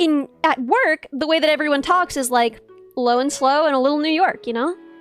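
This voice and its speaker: A woman's high voice at a fairly quick pace, with ordinary pitch variation, over music in the background. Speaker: VTuber streamer. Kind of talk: casual conversation among streamers.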